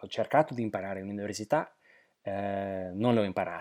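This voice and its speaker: The recording is very clean, its background silent. A man does the talking. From southern Slovakia. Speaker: polyglot. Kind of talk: interview. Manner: halting.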